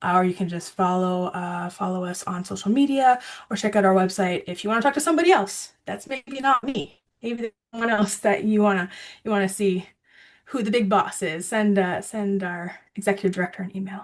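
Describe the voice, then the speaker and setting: An unremarkable speaking voice moves at a fairly quick pace over a quiet background. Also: woman, medium pitch for a woman, ordinary pitch variation. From Ontario, Canada. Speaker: water education presenter. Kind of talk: video call presentation.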